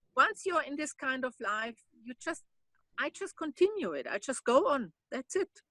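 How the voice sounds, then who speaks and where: A woman projects a raised voice, high-pitched with a bright, sharp tone. Her pitch swings very widely. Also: moderate pace, dry, close sound with no echo. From Germany. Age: 60s. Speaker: long-term solo traveler. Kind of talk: interview conversation. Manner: halting, with self-repeats.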